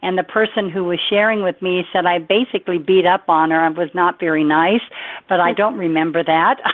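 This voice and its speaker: A woman talks fairly quickly and fairly low in pitch while noticeable background noise fills the recording. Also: ordinary pitch variation. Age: 70s. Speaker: nutrition product distributor giving testimonial. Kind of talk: testimony. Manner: animated.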